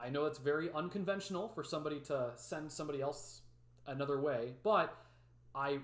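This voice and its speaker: A man talks with a Midwestern accent. His pitch sits fairly high. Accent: Midwest. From Chicago area, US Midwest. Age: 20s. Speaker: weather YouTuber, forecaster. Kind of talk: live stream forecast discussion. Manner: casual, filler words.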